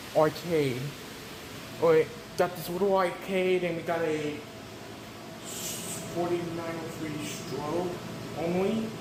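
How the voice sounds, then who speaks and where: A man's high, flat, monotone voice at a fairly slow pace, with noticeable background noise and audible room echo. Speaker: fire alarm enthusiast vlogger. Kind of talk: walking video tour. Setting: indoors, hotel hallways. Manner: casual, spontaneous; whispering in hallways.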